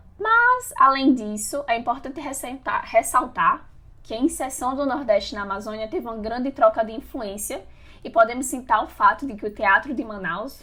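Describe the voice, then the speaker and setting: The voice is raised and projected, moving at a moderate pace with lively intonation and big swings in loudness. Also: woman, high pitch for a woman. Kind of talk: podcast discussion.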